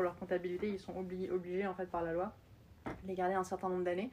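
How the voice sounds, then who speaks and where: A woman at medium pitch talks at a very fast pace. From France. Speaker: startup founder. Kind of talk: interview.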